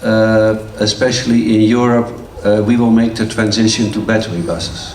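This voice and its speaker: Audible room echo and noticeable background noise fill the recording. The speaking pace is moderate. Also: man. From Netherlands. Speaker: transport finance expert. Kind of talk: conference talk. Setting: conference hall with audience. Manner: halting, many fillers.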